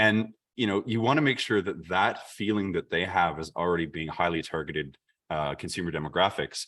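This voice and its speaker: This man has a very deep, low pitch and a Canadian accent. He speaks at a fairly quick pace with ordinary pitch variation. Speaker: chamber of commerce staff, workshop presenter. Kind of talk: online workshop presentation. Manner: fast.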